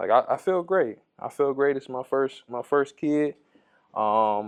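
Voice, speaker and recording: A man with an American accent speaks at a fairly slow pace in an ordinary speaking voice, fairly high in pitch. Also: ordinary pitch variation. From Ohio, Toledo. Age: 20s. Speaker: barber. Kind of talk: casual interview.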